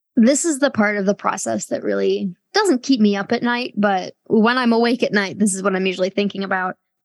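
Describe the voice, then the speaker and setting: A woman with an unremarkable speaking voice talks at a fairly quick pace and a medium pitch. Her pitch varies in an ordinary way, and the sound is dry and close with no echo. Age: 30s. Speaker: author and sex and culture critic. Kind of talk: casual interview conversation.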